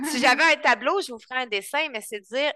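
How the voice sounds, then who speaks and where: In a raised, projected voice with a bright, sharp tone and lively intonation, a woman speaks over a quiet background, the sound dry and close with no echo. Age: 30s. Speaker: couples coach. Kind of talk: interview.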